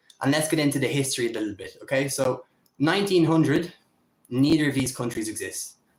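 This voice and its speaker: A man's very fast, somewhat breathy speech with a fairly high pitch, ordinary pitch variation and an Irish accent. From Ireland. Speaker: political commentator. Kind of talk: solo livestream commentary. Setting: home livestream on camera. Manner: casual, freestyle with fillers.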